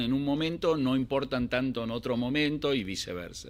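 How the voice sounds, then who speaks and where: A very clean recording with a silent background: a medium-pitched man with lively intonation at a moderate pace. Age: 60s. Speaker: financial analyst. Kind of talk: interview. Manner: halting.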